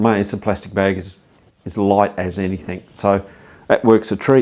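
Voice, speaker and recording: With an unremarkable speaking voice, a man uses a fairly low pitch and fairly even intonation at a moderate pace on a very clean recording with a silent background. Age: 60s. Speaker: cycling vlogger. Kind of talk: tutorial. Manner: casual, conversational with fillers.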